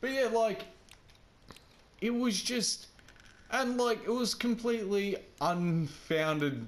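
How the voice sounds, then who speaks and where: A man's high-pitched voice with an Australian accent, very slow with long, frequent pauses and very even loudness, over noticeable background noise. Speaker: gaming video host. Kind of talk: casual chat. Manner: animated.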